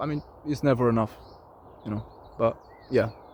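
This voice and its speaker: A man speaks with a non-native accent. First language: not English. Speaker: vlogger. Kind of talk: casual monologue vlog. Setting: outdoors in nature. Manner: halting.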